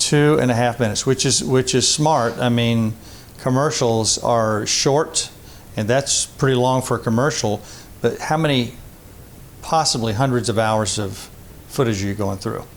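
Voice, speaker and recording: A man speaks at a moderate pace with a medium pitch, ordinary pitch variation and a normal speaking voice. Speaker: podcast host. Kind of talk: podcast host interviewing.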